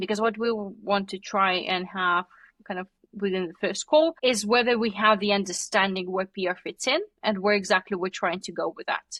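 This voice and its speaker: A woman with a medium pitch and ordinary pitch variation speaks at a moderate pace, the sound dry and close with no echo in a very clean recording with a silent background. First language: not English; English is her third language. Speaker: PR agency founder. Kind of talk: podcast interview. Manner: casual, filler-heavy.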